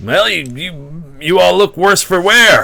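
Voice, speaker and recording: Putting on a character voice, a man speaks in a high pitch at a fairly slow pace. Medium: actual play.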